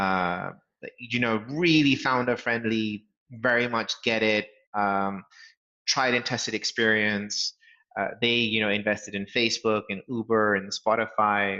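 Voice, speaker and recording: Fairly even intonation marks this voice with a British accent. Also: man, fairly low pitch for a man. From England. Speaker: startup founder and CEO. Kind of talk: interview. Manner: frequent fillers and hesitations.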